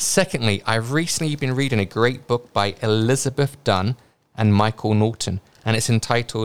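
Recorded very clean against a silent background, a man with a British accent speaks at a moderate pace in a dry, close sound with no echo. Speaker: investing podcast host. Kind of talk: casual podcast discussion.

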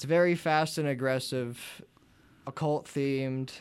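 A man with an American accent speaks in a normal speaking voice at a moderate pace with fairly even intonation. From western Pennsylvania, US. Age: 20s. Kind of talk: casual interview.

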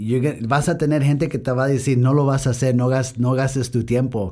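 A man with an English accent and a dark, mellow tone. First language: English (speaking Spanish). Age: young. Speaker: business owner. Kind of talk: interview. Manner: halting Spanish with English switches.

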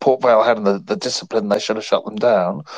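Lively intonation carries this man's medium-pitched voice, spoken with an English accent. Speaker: radio football commentator. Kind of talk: casual chat. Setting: online call.

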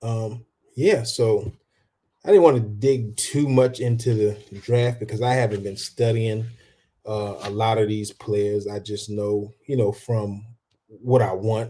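Here is a somewhat breathy voice with an American accent and a dark, mellow tone. The pace is fairly slow and the intonation fairly even. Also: man, medium pitch for a man. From rural US. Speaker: sports podcast host. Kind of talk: casual talk show. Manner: halting, many fillers.

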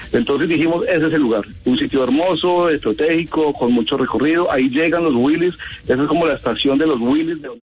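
Fairly quick pace and ordinary pitch variation over noticeable background noise. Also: man, fairly high pitch for a man. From Colombia, Quindío (Quimbaya). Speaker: photographer and audiovisual producer. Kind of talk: radio interview.

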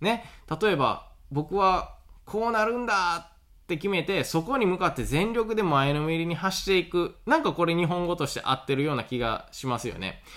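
In a very clean recording with a silent background, a man with a Kansai accent speaks at a moderate pace, his high pitch full of lively intonation. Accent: Kansai Japanese. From Awaji Island, Hyogo. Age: 30s. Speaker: farmer and podcaster. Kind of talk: solo podcast monologue. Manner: casual with many fillers.

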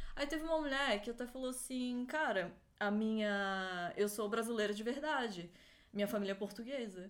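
A woman speaks in a normal speaking voice with a fairly high pitch. Her pitch varies in an ordinary way, and her pace is moderate. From Florianópolis, southern Brazil. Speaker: event producer, law graduate. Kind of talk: casual chat.

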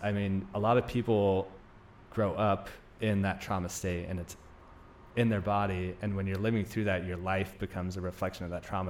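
With an American accent, a man speaks at a fairly low pitch in a monotone, flat way. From Greece, Turkey and Denmark in childhood, then US. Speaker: naturopathic doctor. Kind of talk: casual interview chat.

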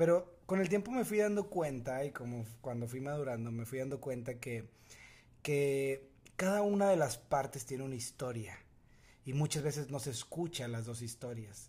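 With a Mexican accent, this man talks at a moderate pace in a medium pitch, his dark, mellow tone somewhat breathy and his intonation lively. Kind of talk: casual chat.

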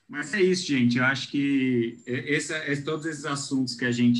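A man with a plain, everyday voice, fairly even intonation and a moderate pace. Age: 30s. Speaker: podcast co-host. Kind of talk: casual interview.

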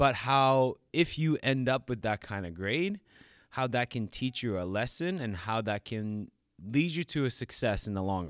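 In a very clean recording with a silent background, a man talks at a medium pitch with lively intonation. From New York. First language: not English. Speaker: fitness coach and podcast host. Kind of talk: casual chat. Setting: studio.

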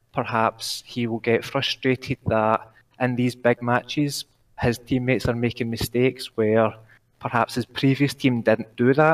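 A man with a Glaswegian accent speaks at a fairly slow pace in a medium pitch and a monotone, flat intonation, with a dry, close sound and no echo. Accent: Glaswegian Scottish. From Glasgow. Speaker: caller. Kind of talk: casual chat. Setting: online call.

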